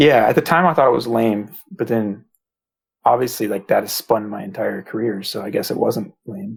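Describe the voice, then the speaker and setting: This man talks at a moderate pace with medium pitch and vocal fry. His intonation is lively, and his loudness swings widely. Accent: American. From US East Coast (Massachusetts, Virginia, DC, Maryland). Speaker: web developer, site creator. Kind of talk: casual podcast interview.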